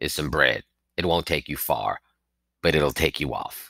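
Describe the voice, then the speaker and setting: A man's put-on character voice, very deep and raspy, at a moderate pace. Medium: read story. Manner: gruff, curt.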